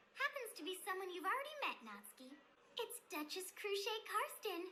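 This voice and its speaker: A squeaky put-on character voice with very wide pitch swings, moderate pace, and clear background noise. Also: woman, extremely high pitch for a woman. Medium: cartoon. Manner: breezy, cheerful, calculating.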